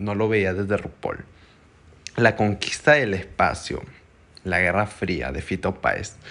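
A man's tone is bright and sharp as he talks very slowly. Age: young. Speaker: podcast host. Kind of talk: casual chat. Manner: animated.

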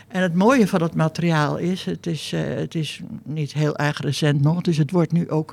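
A woman's plain, everyday voice at a fairly slow pace. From Netherlands. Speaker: sculptor. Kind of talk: interview. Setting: artists' residence.

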